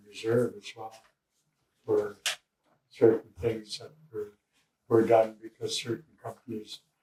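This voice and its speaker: In a dark, mellow tone, a somewhat breathy man speaks at a medium pitch and a fairly slow pace, flat and monotone, with big swings in loudness and long, frequent pauses. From Canada, Cheam First Nation. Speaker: First Nation elder. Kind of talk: interview answer.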